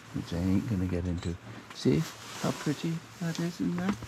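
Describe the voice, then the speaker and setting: A mumbling man at a moderate pace, with lively intonation and noticeable background noise. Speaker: camping vlogger. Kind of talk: casual vlog narration. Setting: outdoors.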